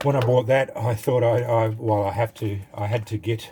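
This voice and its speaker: A man speaks at medium pitch in an Australian accent. His intonation is fairly even. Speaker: knife collector YouTuber. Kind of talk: casual product review. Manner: halting, many fillers.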